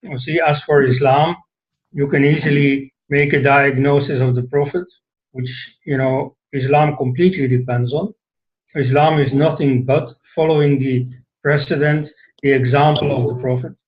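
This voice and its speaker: Speaking at a moderate pace, a man with fairly high pitch uses fairly even intonation and sounds somewhat breathy. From Flanders, Belgium. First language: Dutch. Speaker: author and scholar. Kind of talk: talk to an online audience. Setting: online session. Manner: hesitant, with many fillers.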